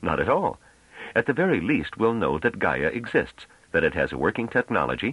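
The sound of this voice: This is an unforced reading voice. The words are read without strain.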